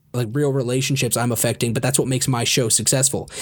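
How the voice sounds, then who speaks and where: In an ordinary speaking voice, a man speaks at a fairly quick pace with a medium pitch. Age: 30s. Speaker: podcast host. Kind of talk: casual chat. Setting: home recording at computer microphone.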